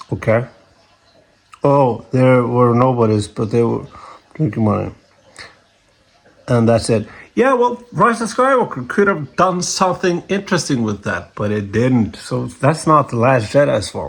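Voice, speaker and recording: Speaking at a fairly slow pace with a non-native accent, a man with a medium pitch makes very wide pitch swings and takes long, frequent pauses. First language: not English. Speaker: YouTuber reacting to comments. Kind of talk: casual rant reading and answering a comment. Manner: halting, many restarts; animated, exasperated.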